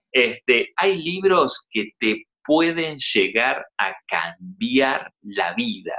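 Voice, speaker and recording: A man with vocal fry talks at a very slow pace with hardly any pauses, his pitch swinging very widely. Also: medium pitch for a man. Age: 40s. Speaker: life coach. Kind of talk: interview.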